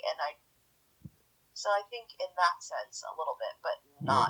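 This is a woman speaking. Her pace is moderate. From Edmonton, Canada. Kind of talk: casual interview.

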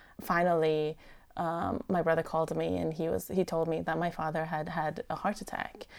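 Her fairly low voice carries vocal fry, and this woman keeps her intonation fairly even. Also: moderate pace. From Iran. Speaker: podcast producer. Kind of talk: casual chat.

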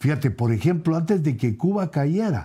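A man talks at a moderate pace with lively intonation, his fairly high pitch carrying a dark, mellow tone. The recording is very clean, with a silent background. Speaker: apostle and preacher. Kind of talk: bible teaching. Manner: hesitant, frequent fillers.

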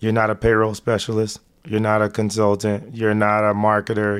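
A man with a plain, everyday voice and an American accent, fairly low in pitch and at a fairly quick pace, in a very clean recording with a silent background. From Texas. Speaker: retired football player and investor. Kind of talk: casual interview.

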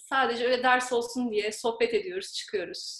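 A woman with a high pitch against a quiet background. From Turkey, Izmir. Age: 20s. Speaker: graduate student. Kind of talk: casual interview.

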